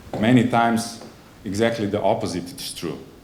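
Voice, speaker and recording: Over noticeable background noise and audible room echo, a man with a non-native accent talks fairly slowly, his fairly low pitch held in fairly even intonation. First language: not English. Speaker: conference speaker, software agency representative. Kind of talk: conference presentation. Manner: halting, many fillers and self-corrections.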